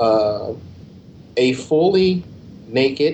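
A man speaks with a dark, mellow tone and ordinary pitch variation. His voice is somewhat breathy. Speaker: podcast reviewer. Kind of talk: casual comedic banter. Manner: jokey, crude, sarcastic.

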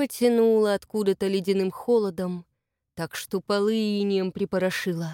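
The clip is plain reading aloud with fairly even intonation over a quiet background.

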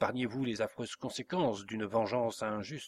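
This is reading aloud in a natural voice, with fairly even intonation.

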